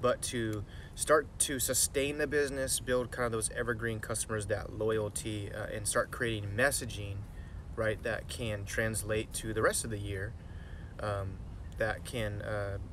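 Against noticeable background noise, a man talks at a fairly slow pace in a dry sound with no echo. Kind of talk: casual vlog chat. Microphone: phone near.

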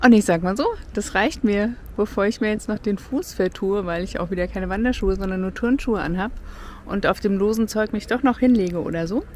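Recorded dry with no echo and light background noise, a woman speaks at a fairly quick pace with ordinary pitch variation. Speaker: travel vlogger. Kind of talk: casual vlog chat. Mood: cheerful, relaxed. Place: open country. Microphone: phone near.

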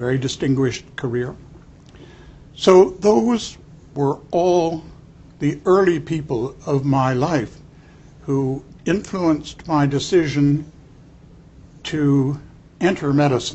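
At a very slow pace with long, frequent pauses, a man speaks in a fairly high, somewhat breathy voice. His pitch varies in an ordinary way. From Canada, Toronto. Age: old. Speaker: neurologist; interviewee. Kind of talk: interview. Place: studio.

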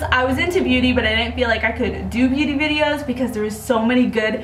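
Amid noticeable background noise, a woman speaks at a high pitch with ordinary pitch variation. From Upstate New York. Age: 20s. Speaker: makeup artist. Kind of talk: voice-over narration of a makeup video. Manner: casual, chatty.

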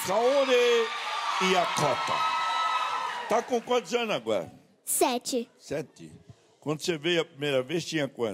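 Light background noise sits under a man who talks at a very slow pace, leaving long, frequent pauses. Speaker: TV show host. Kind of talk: casual interview questions. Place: stage. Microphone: handheld.

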